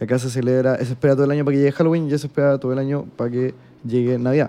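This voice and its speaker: Very fast speech from a man with a Chilean accent, a fairly high pitch, a dark, mellow tone and fairly even intonation. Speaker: podcast co-host. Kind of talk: casual chat.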